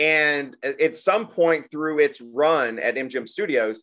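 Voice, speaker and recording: A Southern US accent with ordinary pitch variation, on a very clean recording with a silent background. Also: man. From Arkansas (Little Rock area). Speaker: podcast host. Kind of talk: casual chat.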